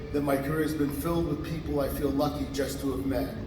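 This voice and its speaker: A man speaking at a fairly quick pace, with audible room echo and music in the background. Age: 60s. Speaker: acoustics engineer receiving an award. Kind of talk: award acceptance speech.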